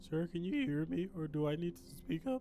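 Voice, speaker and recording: A man puts on a character voice, pitched fairly high and delivered at a fairly quick pace. Clear music plays in the background. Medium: game stream. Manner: calm, clinical.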